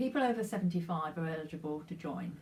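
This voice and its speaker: A woman's somewhat breathy voice at a fairly low pitch, with ordinary pitch variation and a fairly quick pace. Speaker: retired charity volunteer. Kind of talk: personal anecdote. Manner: halting.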